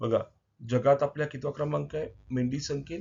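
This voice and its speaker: A man talks with fairly even intonation. His voice is somewhat breathy and fairly high in pitch. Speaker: exam coaching teacher. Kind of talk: current affairs quiz lesson. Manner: repetitive, emphatic teaching.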